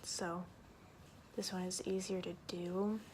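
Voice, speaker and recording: A soft-spoken woman at medium pitch, flat and monotone, with audible room echo. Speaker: beauty vlogger. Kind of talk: tutorial. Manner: casual, filler-heavy.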